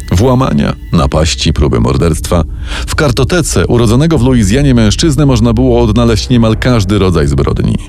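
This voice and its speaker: The voice has a dramatic tone, very wide pitch swings and very even loudness at a fairly quick pace. Music plays in the background. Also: man, very deep, low pitch for a man. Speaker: true-crime narrator. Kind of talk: true-crime narration, scripted storytelling. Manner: measured, dramatic, suspenseful narration.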